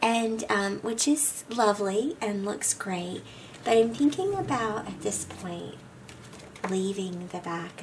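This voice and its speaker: A woman speaks at a medium pitch with ordinary variation. Noticeable background noise runs underneath. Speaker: scrapbooking youtuber. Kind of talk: craft tutorial. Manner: casual, many filler ums.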